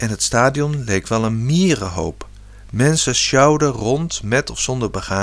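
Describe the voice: This is plain reading aloud. It stays plain reading aloud from start to finish.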